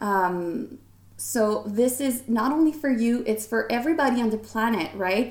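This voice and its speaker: Here a woman talks with a Quebec accent at a moderate pace. Her pitch is fairly high, with ordinary variation. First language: French. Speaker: podcast host and fashion designer. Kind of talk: casual solo podcast talk. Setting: recording alone to camera. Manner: hesitant, many fillers.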